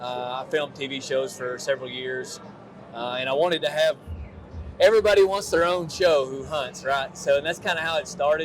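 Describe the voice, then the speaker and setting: Amid noticeable background noise, a man with a Kentucky accent talks at a fairly quick pace, fairly high in pitch with ordinary pitch variation. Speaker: army sergeant and nonprofit founder. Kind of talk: interview.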